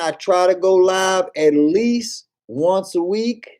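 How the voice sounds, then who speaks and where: Here a man speaks at a high pitch with a dark, mellow tone. His intonation stays fairly even. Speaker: livestreamer discussing investing. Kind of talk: live stream chat. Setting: live stream. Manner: casual, conversational.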